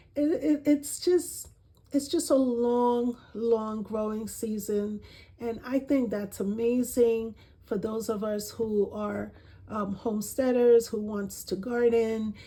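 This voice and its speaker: Somewhat breathy and very slow, a woman speaks with a dark, mellow tone, a fairly high pitch and ordinary pitch variation. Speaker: gardening vlogger. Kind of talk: casual vlog talk. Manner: halting, many repeated words.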